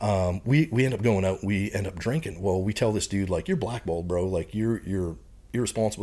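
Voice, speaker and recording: In a Canadian prairie accent, a man speaks very fast at a fairly low pitch with ordinary pitch variation. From Canada, Saskatchewan prairies. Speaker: retired Marine bomb disposal technician and professor. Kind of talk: casual interview chat.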